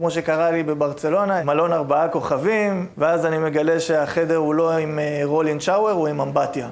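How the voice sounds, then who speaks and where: Amid noticeable background noise and audible room echo, a man with a fairly high pitch speaks at a moderate pace with hardly any pauses, keeping both his loudness and his intonation very even and fairly even, respectively. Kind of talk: TV interview.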